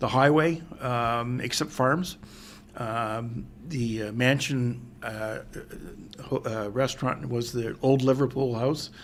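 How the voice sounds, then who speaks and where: With an Ontario accent, the speaker goes at a very slow pace and keeps the intonation fairly even. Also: man, medium pitch for a man. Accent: Canadian English (Ontario). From Ontario, Canada (Pickering). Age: 60s. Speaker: mayor. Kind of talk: interview. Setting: in-person sit-down interview. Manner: hesitant, many fillers.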